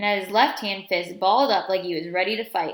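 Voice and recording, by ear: The voice is natural. It is reading aloud.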